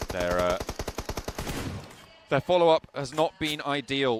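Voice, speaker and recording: A man's very wide pitch swings against noticeable background noise. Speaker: esports caster. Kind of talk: live commentary.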